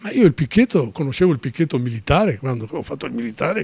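Against a quiet background, a man with a dark, mellow tone talks at a very fast pace with lively intonation, the sound dry with no echo. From Veneto, Venice area; Veneto. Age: 70s. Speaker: retired trade unionist and writer. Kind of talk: interview, personal life story; interview answer. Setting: studio. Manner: halting, many fillers. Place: studio. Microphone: handheld.

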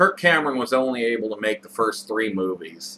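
The tone is bright and sharp. There is light background noise. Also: man. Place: home room. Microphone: webcam.

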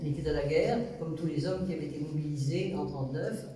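With audible room echo, a woman speaks at a moderate pace in a very deep, low pitch with fairly even intonation. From France. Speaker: witness, daughter of a deported resistance member. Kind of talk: testimony. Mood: calm, reflective. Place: home room.

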